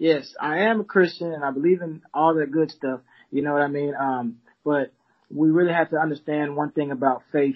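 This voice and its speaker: With an American accent, a man talks at a moderate pace in an ordinary speaking voice. His pitch is fairly high and his intonation fairly even. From Texas, Arlington. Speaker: children's book publisher. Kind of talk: casual interview.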